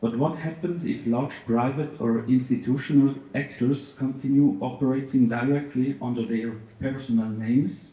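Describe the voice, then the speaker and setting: Amid audible room echo, a man with a non-native accent talks at a moderate pace, somewhat breathy, with medium pitch and fairly even intonation. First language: not English. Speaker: audience member asking a question. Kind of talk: audience question, prepared reading.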